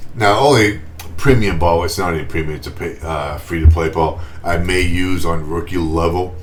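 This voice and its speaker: Amid noticeable background noise and audible room echo, a man with a Boston accent speaks at a moderate pace in a very deep, low voice with ordinary pitch variation. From Boston, US. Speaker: gaming YouTuber. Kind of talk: gameplay commentary. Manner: casual, chatty.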